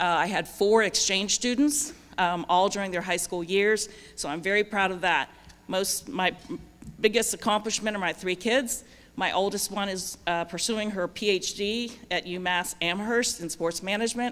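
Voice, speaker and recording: A woman with a plain, everyday voice speaks at a medium pitch and moderate pace with ordinary pitch variation. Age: 60s. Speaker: judicial candidate. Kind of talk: campaign speech.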